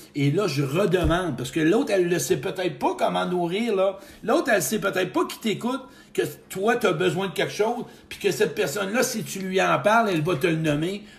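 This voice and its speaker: A man with a high pitch, lively intonation and an animated tone, at a fairly quick pace. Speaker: motivational speaker. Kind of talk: live stream talk. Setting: live video stream.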